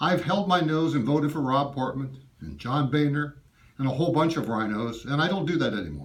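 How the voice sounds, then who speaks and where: The speaker talks at a fairly quick pace with ordinary pitch variation and some vocal fry. The room echo is audible. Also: man. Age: 70s. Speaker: constituent voicing complaint. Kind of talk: in-person complaint to a staffer. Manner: emphatic.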